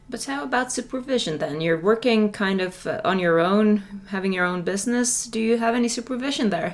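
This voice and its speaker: Speaking fairly quickly with a Finnish accent, a woman uses a fairly high pitch and ordinary pitch variation over noticeable background noise. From Finland. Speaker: general practitioner and podcast host. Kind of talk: interview. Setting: congress venue.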